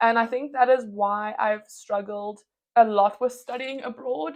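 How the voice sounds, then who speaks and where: This is a woman speaking. She has a South African accent. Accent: British-sounding English, South African. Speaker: medical student vlogger. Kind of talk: casual Q&A vlog.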